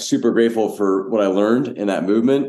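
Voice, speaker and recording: A man's dark, mellow voice at a moderate pace against a quiet background. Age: 60s. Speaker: pastor and church planter. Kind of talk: podcast interview.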